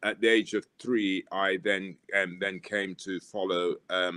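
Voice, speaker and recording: A man's fairly low voice, with fairly even intonation, at a very slow pace. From England, Birmingham (Small Heath). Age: 60s. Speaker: farmer and food entrepreneur. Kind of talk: interview. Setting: livestream.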